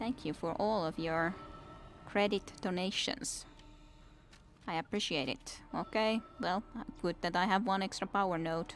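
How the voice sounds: A woman's fairly low voice at a fairly slow pace, with ordinary pitch variation.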